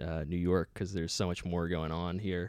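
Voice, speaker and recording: A man speaks with an American accent at a very deep, low pitch. The recording is very clean, with a silent background. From US childhood, then Bristol, England. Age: 20s. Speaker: comedian. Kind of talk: casual chat. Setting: studio.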